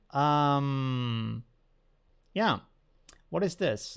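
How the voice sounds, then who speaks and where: A man with a normal speaking voice, fairly high in pitch, with lively intonation on a very clean recording with a silent background. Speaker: photo editing tutorial creator. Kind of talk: live stream tutorial. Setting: live stream.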